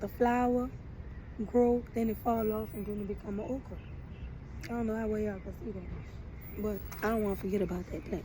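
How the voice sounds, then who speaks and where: Her speech moves at a fairly quick pace. The woman's voice carries audible room echo. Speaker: vlogger. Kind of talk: casual monologue. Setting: outdoors in the sun.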